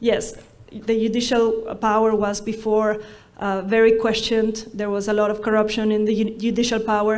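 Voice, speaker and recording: With a Spanish accent and a fairly high pitch, a woman talks at a moderate pace in a flat monotone, with audible room echo around her. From Ecuador. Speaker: law professor and human rights scholar. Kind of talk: conference talk. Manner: halting, with frequent fillers and restarts.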